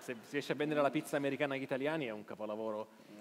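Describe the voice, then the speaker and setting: The intonation is lively. A man talks at a very fast pace. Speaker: journalist and live show host; journalist, live show host. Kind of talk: live interview on stage. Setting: theater stage with audience. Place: stage.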